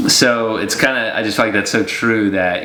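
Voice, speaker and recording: A man speaks in a relaxed tone with flat, monotone intonation at a moderate pace, with audible room echo and noticeable background noise. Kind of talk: casual devotional chat. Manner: relaxed conversational.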